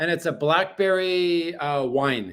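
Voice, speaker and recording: In a very clean recording with a silent background, a man speaks loud at a high pitch. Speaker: livestreamer. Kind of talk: casual livestream chat. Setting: apartment livestream.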